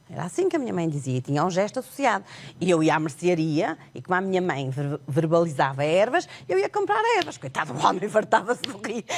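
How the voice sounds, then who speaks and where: A woman speaks fairly quickly with a fairly low pitch and lively intonation. Noticeable background noise runs under her voice. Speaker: sign language interpreter and author. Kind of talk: TV interview.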